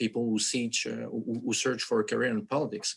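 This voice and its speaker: A man with a Quebec accent and a medium pitch. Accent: French-Canadian accent in English. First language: French. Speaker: activist, foundation head, accountant. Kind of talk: panel discussion. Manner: halting, many fillers.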